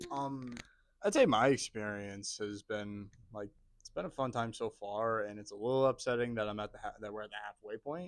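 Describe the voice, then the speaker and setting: This is an ordinary speaking voice from a man at a medium pitch and a moderate pace. His pitch varies in an ordinary way, while his loudness swings widely. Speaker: college student and amateur actor. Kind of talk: casual chat.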